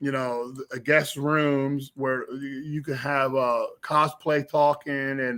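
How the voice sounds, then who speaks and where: With a Philadelphia accent, a man speaks at a fairly high pitch and a very slow pace, his bright, sharp tone carrying monotone, flat intonation. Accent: Philadelphia twang. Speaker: filmmaker, artist and convention organizer. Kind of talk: casual interview. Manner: stammering, repeats words.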